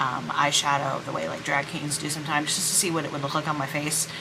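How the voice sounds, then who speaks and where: Against noticeable background noise and audible room echo, a woman speaks at a very deep, low pitch. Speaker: vlogger. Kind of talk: casual vlog monologue. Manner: hesitant, many fillers.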